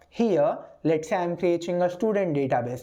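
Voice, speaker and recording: A woman speaks in a dark, mellow tone with very wide pitch swings. Audible room echo is present. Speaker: programming instructor. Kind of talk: lecture. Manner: slow; repetitive, hesitant with fillers.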